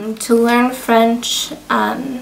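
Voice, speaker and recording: Over noticeable background noise, a woman speaks in an American accent with monotone, flat intonation. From Michigan, US. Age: 20s. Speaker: student. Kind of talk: interview answers. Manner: hesitant, many ums.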